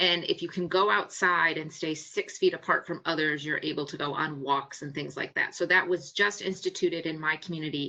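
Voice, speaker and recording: The tone is bright and sharp, the intonation fairly even, with an American accent. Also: woman. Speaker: psychologist. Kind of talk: webinar presentation. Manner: fast.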